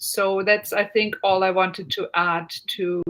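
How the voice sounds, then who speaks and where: With a German accent, a woman talks in fairly even intonation. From Germany. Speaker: university lecturer. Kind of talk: online Q&A panel.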